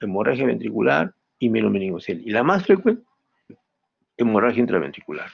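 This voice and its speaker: The delivery is fairly quick with lively intonation. Vocal fry runs through the voice. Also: man. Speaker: medical professor. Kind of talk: lecture.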